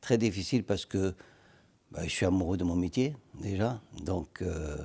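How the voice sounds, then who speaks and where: A man talks at a fairly slow pace in a very deep, low voice. His tone is dark, mellow and somewhat breathy, with ordinary pitch variation. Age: 70s. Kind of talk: TV interview. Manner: halting.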